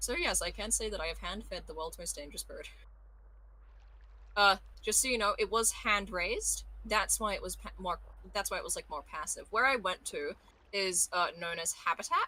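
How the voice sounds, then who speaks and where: At a moderate pace, a woman speaks with an Australian accent. She leaves long, frequent pauses. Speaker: voice actor. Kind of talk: casual chat.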